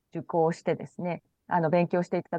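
A woman talking at a fairly quick pace. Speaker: IT company CEO. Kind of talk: radio interview.

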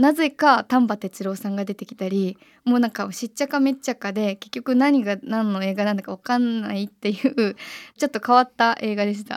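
In a very clean recording with a silent background, a woman with a fairly high pitch and an unremarkable speaking voice talks at a fairly quick pace, with ordinary pitch variation, big swings in loudness and a dry, close sound with no echo. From Japan, Kyoto. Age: 20s. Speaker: singer-songwriter. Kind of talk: radio interview.

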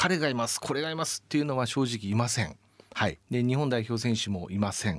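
A normal speaking voice from a man, medium in pitch, with lively intonation and a fairly quick pace over a quiet background. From Japan, Yamaguchi Prefecture. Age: 40s. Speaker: sports team executive. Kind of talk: radio interview. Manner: polite formal.

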